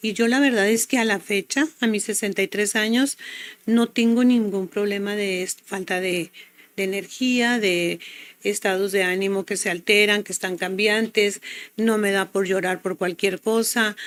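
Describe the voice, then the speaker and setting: At a fairly slow pace, a woman with an unremarkable speaking voice talks at medium pitch with fairly even intonation. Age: 60s. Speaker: health product promoter. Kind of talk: testimony.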